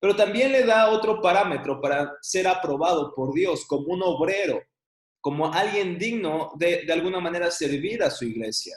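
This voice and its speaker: His voice sits high in pitch, with lively intonation. This man keeps to a moderate pace. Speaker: Bible teacher. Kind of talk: online class lecture.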